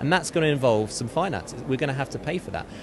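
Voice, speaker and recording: Over noticeable background noise, a man with a London accent talks with lively intonation. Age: young. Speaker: charity campaigner. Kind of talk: interview.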